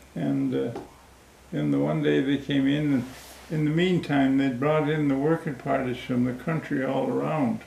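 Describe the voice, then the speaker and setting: Speech moves at a moderate pace with very even loudness. Noticeable background noise is present. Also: man. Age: 80s+. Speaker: war veteran. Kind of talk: interview answer.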